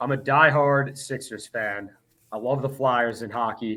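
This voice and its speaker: Loud and bright, with a sharp tone, this man speaks at a medium pitch with an American accent. His intonation stays fairly even. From Philadelphia area, Pennsylvania. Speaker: TV sports director. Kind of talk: casual interview.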